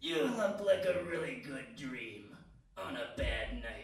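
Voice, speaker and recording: Putting on a raspy character voice pitched high for a man, he talks at a fairly slow pace with a slight echo. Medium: stage play. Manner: blunt, terse.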